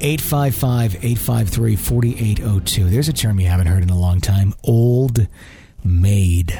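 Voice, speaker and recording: A man speaks in a fairly low pitch with a dark, mellow tone. His voice is somewhat breathy, and his pitch varies in an ordinary way. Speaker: podcast host. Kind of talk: ghost story narration. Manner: conversational, earnest, warm.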